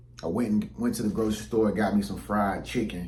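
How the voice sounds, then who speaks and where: With audible room echo around him, a man with a fairly low pitch and some vocal fry speaks at a moderate pace. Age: 30s. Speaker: YouTuber. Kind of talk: casual vlog monologue. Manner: casual, conversational with many fillers.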